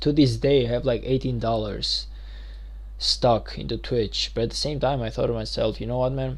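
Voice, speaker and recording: At a fairly quick pace, a man with a non-native accent speaks amid audible room echo. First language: not English. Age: 20s. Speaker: gaming streamer. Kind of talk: live stream gaming commentary. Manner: casual, occasionally halting.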